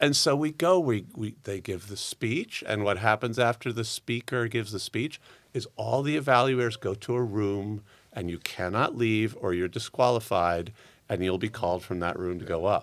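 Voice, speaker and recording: A man with an unremarkable speaking voice and a fairly low pitch that moves with ordinary variation talks at a moderate pace, captured in a very clean recording against a silent background. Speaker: Toastmasters contestant. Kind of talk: casual interview chat. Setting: studio.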